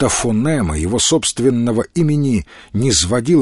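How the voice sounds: The reading voice sounds natural, its intonation lively.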